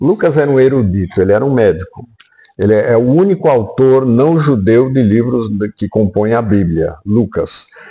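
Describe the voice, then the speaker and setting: A man of medium pitch uses lively intonation at a moderate pace, his loudness very even despite noticeable background noise. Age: 80s+. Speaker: retired pastor. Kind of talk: sermon; interview. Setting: at his home.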